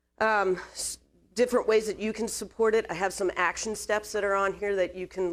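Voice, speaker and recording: A woman talking at a fairly quick pace on a very clean recording with a silent background. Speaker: mental health clinician, presenter. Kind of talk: presentation to business audience. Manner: fast.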